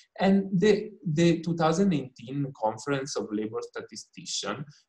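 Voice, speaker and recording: A man with an Italian accent, somewhat breathy, at a moderate pace with lively intonation. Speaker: researcher presenting on the care economy. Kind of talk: lecture. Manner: halting, many fillers.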